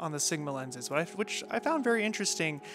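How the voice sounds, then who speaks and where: Music plays clearly behind the voice. A man rattles off his words very fast. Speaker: filmmaker reviewing lenses. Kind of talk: casual review talk. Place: garden.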